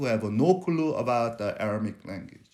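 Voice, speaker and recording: Man with a Korean accent at a moderate pace. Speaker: preacher. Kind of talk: sermon. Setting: church.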